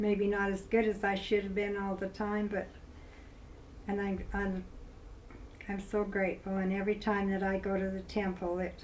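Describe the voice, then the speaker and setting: A woman with a Utah accent speaks at a moderate pace in a medium-pitched, monotone, flat voice. Noticeable background noise and audible room echo fill the recording. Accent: Utah, western US. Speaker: grandmother recording personal history. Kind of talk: personal testimony interview. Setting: filmed interview. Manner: halting, with repetitions.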